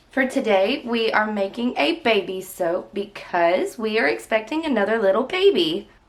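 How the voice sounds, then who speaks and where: A woman's fairly high-pitched, lively voice over noticeable background noise. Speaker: soap maker, tutorial channel host. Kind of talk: tutorial.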